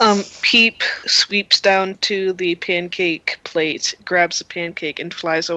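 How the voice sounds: Someone reads aloud in a natural voice whose intonation stays fairly level.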